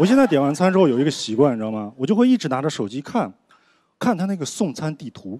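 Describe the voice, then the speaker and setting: Speaking very fast, a man has a fairly high pitch, very wide pitch swings and a dark, mellow tone. The sound is dry with no echo, with light background noise. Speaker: stand-up comedian. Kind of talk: stand-up comedy set. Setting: stage with audience. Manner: animated, conversational; self-deprecating, rapid-fire punchlines. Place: stage. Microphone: handheld.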